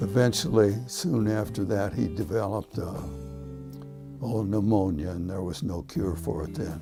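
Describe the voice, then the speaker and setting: Over music in the background, a man with a Midwestern American accent speaks with very wide pitch swings. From Cleveland, Ohio. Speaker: retired teacher and school administrator. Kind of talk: oral history interview answer.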